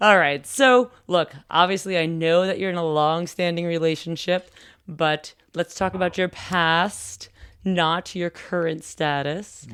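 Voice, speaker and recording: A woman speaks in an unremarkable speaking voice at a fairly slow pace with fairly even intonation, on a very clean recording with a silent background. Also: fairly low pitch for a woman. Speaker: podcast host. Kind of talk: casual interview questions.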